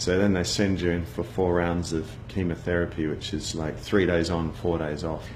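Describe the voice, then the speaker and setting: Over noticeable background noise and audible room echo, a man speaks with a very deep, low pitch. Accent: Australian. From Australia, Sydney (Bondi). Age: 40s. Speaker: cancer survivor, advertising agency founder. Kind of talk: personal testimony. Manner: casual, conversational with fillers.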